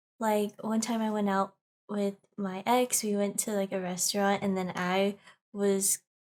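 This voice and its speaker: A woman's medium-pitched voice at a fairly slow pace. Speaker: podcast co-host. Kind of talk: casual chat.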